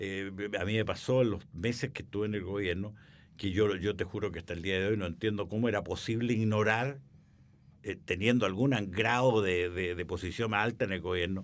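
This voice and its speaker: Fairly quick, fairly low-pitched speech from a man with a Chilean accent and fairly even intonation. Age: 80s+. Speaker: businessman and author. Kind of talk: interview. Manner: halting, many repetitions.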